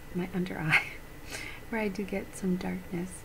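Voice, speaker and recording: A soft-spoken woman talks at a medium pitch and moderate pace in a relaxed tone. Noticeable background noise is present. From Canada. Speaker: beauty vlogger. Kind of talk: ASMR beauty haul, casual chatty talk to camera; soft-spoken casual vlog chat. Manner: soft-spoken, chatty, relaxed. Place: home room.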